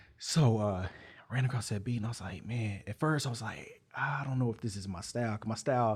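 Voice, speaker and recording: A somewhat breathy man with an American accent at a fairly quick pace, on a very clean recording with a silent background. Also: medium pitch for a man, ordinary pitch variation. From Texas. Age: 20s. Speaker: rapper. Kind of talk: interview. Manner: laid back.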